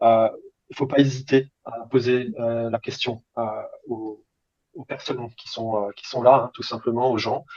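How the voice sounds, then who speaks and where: At a fairly slow pace, a man of medium pitch speaks in a monotone, flat way, with long, frequent pauses and big swings in loudness. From France. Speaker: language student. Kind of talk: interview. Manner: halting, many hesitations.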